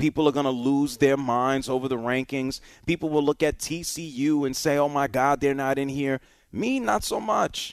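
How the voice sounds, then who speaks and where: The speech is animated and moderate in pace, captured in a very clean recording with a silent background. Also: man, fairly high pitch for a man. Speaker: sports radio host. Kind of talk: sports talk radio. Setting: studio.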